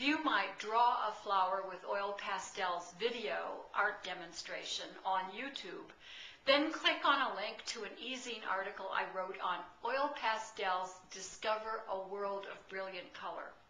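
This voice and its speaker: Speaking at a fairly slow pace, a woman shows ordinary pitch variation and big swings in loudness, with audible room echo and noticeable background noise. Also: medium pitch for a woman. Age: 60s. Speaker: artist and art teacher. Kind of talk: video testimonial.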